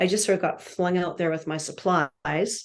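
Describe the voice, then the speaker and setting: An unremarkable speaking voice with a Canadian accent comes across a quiet background with fairly even intonation. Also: woman. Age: 60s. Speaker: landscape painter. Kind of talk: interview monologue.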